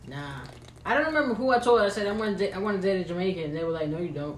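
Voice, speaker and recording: Very fast, lively-intoned speech from a woman with a fairly low pitch, amid noticeable background noise and audible room echo. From Mexican family background. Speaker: podcast co-host. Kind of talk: casual chat.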